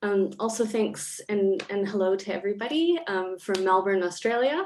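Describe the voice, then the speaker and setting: Here is a woman with a normal speaking voice and a Canadian accent. She speaks at a medium pitch and a moderate pace. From Canada. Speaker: academic panelist. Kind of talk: panel discussion.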